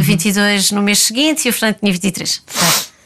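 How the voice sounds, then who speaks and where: Noticeable noise sits in the background. Over it, a woman talks with fairly even intonation. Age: 30s. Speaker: ballet dancer. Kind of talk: interview. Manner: halting.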